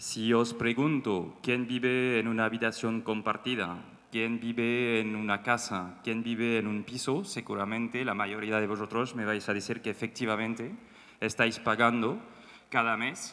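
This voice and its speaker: Speaking at a fairly slow pace, a man with a medium pitch and a bright, sharp tone keeps his intonation fairly even. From France. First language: French (speaking Spanish). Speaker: startup co-founder. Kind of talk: panel talk. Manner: hesitant.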